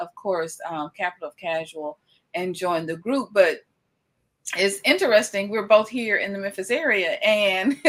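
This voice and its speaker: Lively intonation and a fairly slow pace mark this speaker's Southern US accent. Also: woman. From US South, Batesville, Mississippi. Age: 50s. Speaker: interviewer, channel host. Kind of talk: casual interview.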